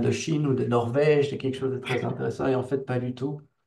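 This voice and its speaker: Words come out at a very fast pace. A man is the one speaking. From Belgium. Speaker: software engineer, company founder. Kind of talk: interview. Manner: casual, hesitant with fillers.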